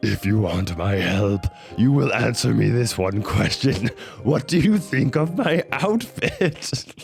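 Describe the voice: A man's put-on character voice at a medium pitch and fairly slow pace, with faint music in the background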